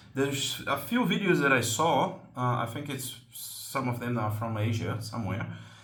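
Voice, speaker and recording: In a Portuguese accent, a man at a medium pitch speaks at a moderate pace with hardly any pauses and ordinary pitch variation, with audible room echo and noticeable background noise. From Brazil. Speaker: slingshot hobby channel host. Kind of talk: tutorial. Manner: hesitant, many fillers.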